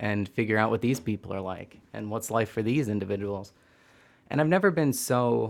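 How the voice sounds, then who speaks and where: This man has an unremarkable speaking voice, fairly low in pitch, with an American accent. His pitch varies in an ordinary way and his pace is moderate. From US Midwest (Hastings, Michigan). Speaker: Reiki practitioner and former performer. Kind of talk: casual interview conversation.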